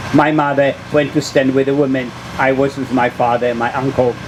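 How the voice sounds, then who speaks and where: Over noticeable background noise, a man with a fairly high pitch talks at a moderate pace in a monotone, flat delivery. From Poland. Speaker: Holocaust survivor. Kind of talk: public talk, personal memoir.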